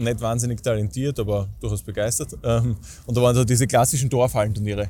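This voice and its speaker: A man talks fairly quickly in a dark, mellow tone with ordinary pitch variation. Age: 20s. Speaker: stadium announcer and event host. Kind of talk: casual interview.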